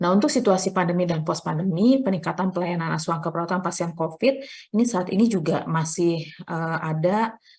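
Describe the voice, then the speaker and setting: Talking at a fairly quick pace with hardly any pauses, a woman uses a fairly low, somewhat breathy voice with ordinary pitch variation. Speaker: nursing lecturer. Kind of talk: lecture. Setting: online class from library. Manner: soft-spoken; hesitant with fillers.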